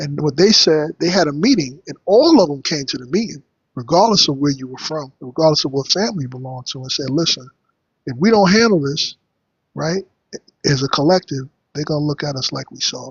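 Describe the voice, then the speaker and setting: The voice has an American accent, sounds somewhat breathy and shows big swings in loudness. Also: man, fairly high pitch for a man, ordinary pitch variation. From New York. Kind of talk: heated debate.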